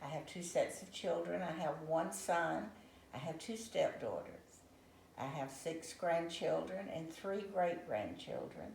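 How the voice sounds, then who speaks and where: A woman with a fairly low voice speaks at a fairly slow pace, with noticeable background noise and audible room echo. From Savannah, Georgia, US. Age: 80s+. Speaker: retired accountant, interviewee. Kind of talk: interview.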